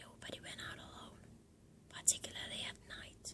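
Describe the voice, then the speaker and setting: Whispering at a moderate pace comes through over noticeable background noise. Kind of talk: ASMR book reading, whispered. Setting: close-up recording with some background noise. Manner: whispered, soft.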